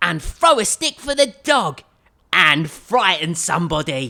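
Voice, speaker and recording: A put-on character voice sits at a middle pitch. It moves at a fairly slow pace. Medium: read story.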